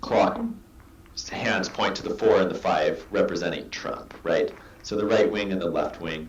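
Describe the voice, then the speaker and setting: With noticeable background noise behind him, a man speaks in an American accent at a moderate pace. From US Pacific Northwest. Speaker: artist. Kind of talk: interview answer.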